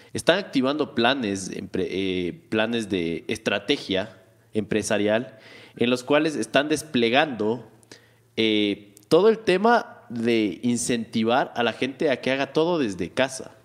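This man speaks at a fairly slow pace and a medium pitch. His tone is animated and his intonation lively. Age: 20s. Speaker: tech podcast co-host. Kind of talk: casual chat.

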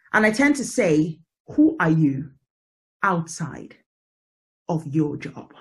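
Speaking at a very slow pace with a British accent, this voice leaves long, frequent pauses. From Britain, of African family. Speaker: podcast host. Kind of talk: casual interview chat. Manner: animated.

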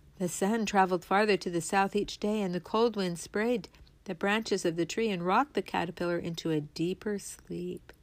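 Natural-voiced reading aloud

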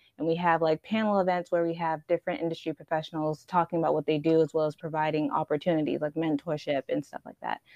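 With an American accent, a woman talks at a very fast pace with hardly any pauses, her very deep, low voice keeping fairly even intonation. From Houston, Texas (Nigerian family). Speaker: founder of a creative community. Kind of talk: casual interview. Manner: casual, filler-heavy.

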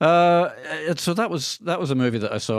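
On a very clean recording with a silent background, a man with a Scottish accent talks at a very fast pace. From Scotland. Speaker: radio host. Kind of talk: casual banter, radio show. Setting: radio studio. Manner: jokey, wordplay, rambling.

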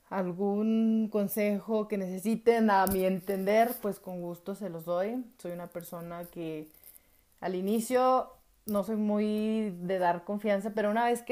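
A woman speaks at medium pitch with a dark, mellow tone. Her pace is fairly slow and her intonation fairly even. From Mexico, Jalisco. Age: 30s. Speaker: podcast host. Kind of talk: personal podcast monologue. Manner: halting.

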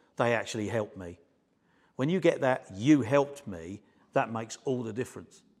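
With a plain, everyday voice, a man speaks at a medium pitch and moderate pace, his intonation lively and his loudness swinging widely. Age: 50s. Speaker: electrical trainer. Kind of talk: casual chat.

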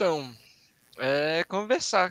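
Recorded dry and close with no echo against a silent background, the very clean clip features a man with a bright, sharp tone. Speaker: advertising designer and art director. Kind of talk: casual live-stream chat.

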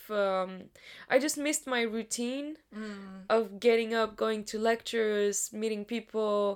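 A woman with an ordinary speaking voice, fairly high in pitch, fairly even in intonation and fairly slow in pace, on a very clean recording with a silent background. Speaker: university student. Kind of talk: casual chat.

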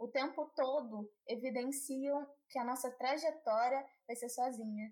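Pitched high, a woman speaks with fairly even intonation. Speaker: podcast host. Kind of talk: casual interview.

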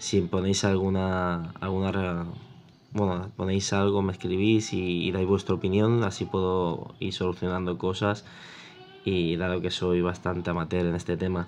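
A man speaks at a fairly slow pace in a very deep, low voice, his intonation monotone and flat. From Spain, Catalonia (Mataró, Barcelona). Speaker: tech podcaster, security technician. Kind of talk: solo podcast monologue. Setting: home recording with video. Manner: halting, many repetitions.

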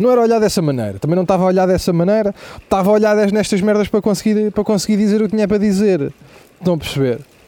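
Over noticeable background noise, a man talks at a very fast pace and a high pitch. His pitch variation is ordinary and his loudness very even. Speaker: comedian. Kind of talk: comedic monologue. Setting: outdoors. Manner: animated.

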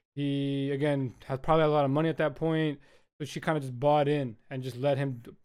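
A man's fairly high-pitched voice, an ordinary speaking voice, at a fairly quick pace on a very clean recording with a silent background. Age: 20s. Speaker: podcast host. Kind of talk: casual chat.

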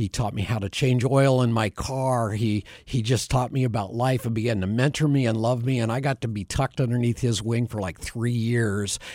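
A man speaks in a normal speaking voice with an American accent, at medium pitch and a moderate pace with hardly any pauses. His intonation is fairly even, and the recording is very clean with a silent background. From Bend, Oregon, US Pacific Northwest. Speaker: ministry area director, former broadcaster. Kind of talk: radio interview, conversational. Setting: studio.

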